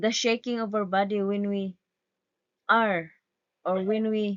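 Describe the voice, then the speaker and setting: A woman speaks at a very slow pace. She has a non-native accent. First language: not English. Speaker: student. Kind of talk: class report presentation. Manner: stuttering, halting.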